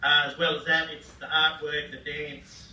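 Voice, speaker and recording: Someone with an Australian accent speaks at a fairly slow pace, with audible room echo and noticeable background noise. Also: man. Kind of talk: classroom talk. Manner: halting.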